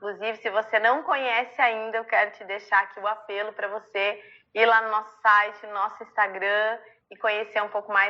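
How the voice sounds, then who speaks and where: A woman's warm-toned voice at medium pitch, with monotone, flat intonation. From southern Brazil (Rio Grande do Sul). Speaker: church ministry leader. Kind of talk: online ministry training talk. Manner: warm, conversational.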